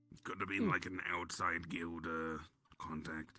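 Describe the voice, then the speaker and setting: The voice is a raspy, put-on character voice delivered at a fairly slow pace. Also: man, very deep, low pitch for a man. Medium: machinima. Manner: casual, teasing.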